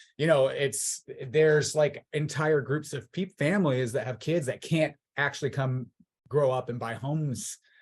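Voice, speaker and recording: Somewhat breathy and fairly high in pitch, a man speaks with an American accent and ordinary pitch variation. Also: moderate pace. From Southern California (Orange County). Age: 30s. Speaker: political candidate. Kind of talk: interview.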